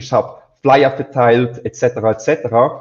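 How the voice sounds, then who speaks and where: Somewhat breathy male voice. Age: 20s. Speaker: agency founder. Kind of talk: interview. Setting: live stream.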